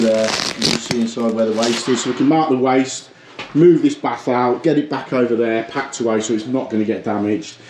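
Light background noise is present. The room adds an audible echo. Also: man. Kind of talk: tutorial. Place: home room. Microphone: phone near.

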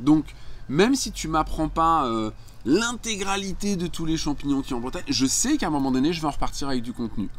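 At a fairly quick pace, a man with a fairly high pitch makes very wide pitch swings. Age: 50s. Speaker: life coach and entrepreneur; life coach. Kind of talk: casual monologue tutorial. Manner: hesitant, many filler words. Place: garden. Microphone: phone near.

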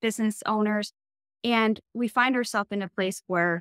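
Recorded dry with no echo against a quiet background, a woman speaks. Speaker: business coach, co-host. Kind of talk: podcast monologue. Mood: warm and encouraging. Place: home room.

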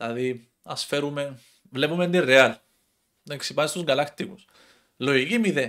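A man's fairly high voice with ordinary pitch variation at a moderate pace, against a quiet background. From Cyprus. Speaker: football commentator YouTuber. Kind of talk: casual monologue. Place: home room. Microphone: headset.

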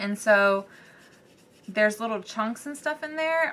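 Bright and sharp in tone, a woman with a Southern US accent speaks at a fairly high pitch with lively intonation. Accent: Southern US, country. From US South. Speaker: art YouTuber. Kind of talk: tutorial. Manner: casual, with many fillers.

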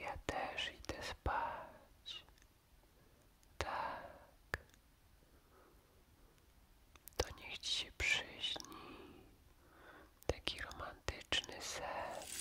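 Over noticeable background noise, a soft-spoken man whispers at a very slow pace. He leaves long, frequent pauses. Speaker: storyteller. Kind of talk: whispered bedtime story, ASMR style. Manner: soft close bedtime whisper. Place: home room.

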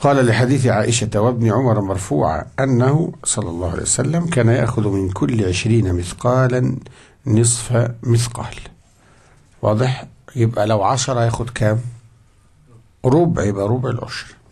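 This man's voice sits at a medium pitch and is somewhat breathy. He talks at a fairly slow pace with ordinary pitch variation. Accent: Egyptian. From Egypt. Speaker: Islamic scholar teaching a fiqh book; religious teacher. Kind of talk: religious lesson. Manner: conversational, asks audience questions. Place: classroom. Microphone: studio mic.

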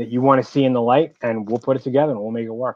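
A man in a New York accent talks with fairly even intonation, the sound dry with no echo and the background quiet. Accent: heavy New York. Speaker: entrepreneur, business owner; guest. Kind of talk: casual business interview. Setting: live video call. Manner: talkative. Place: home room. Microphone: video call.

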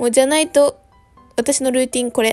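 In a Kyushu accent, a woman speaks at a high pitch while faint music plays in the background. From Kumamoto, Japan. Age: 20s. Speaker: vlogger. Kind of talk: casual vlog narration. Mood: relaxed, playful. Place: home room.

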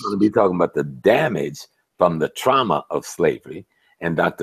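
There is a man speaking against a quiet background. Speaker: professor, activist, lecturer; professor, lecturer. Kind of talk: interview answer. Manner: calm delivery. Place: home room. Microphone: earbuds.

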